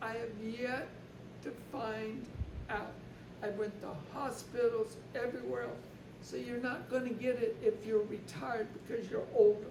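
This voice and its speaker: A woman's fairly high voice in an American accent, fairly slow and fairly even, with long, frequent pauses, audible room echo and noticeable background noise. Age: 70s. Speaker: retired US veteran living abroad. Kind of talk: interview answer, casual explanation.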